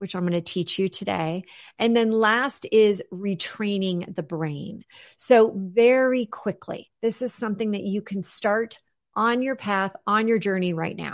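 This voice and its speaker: Upbeat and enthusiastic in tone, a woman speaks at a fairly slow pace and medium pitch with ordinary pitch variation. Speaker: business coach and author. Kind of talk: radio interview, explaining self-help method. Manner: upbeat, enthusiastic.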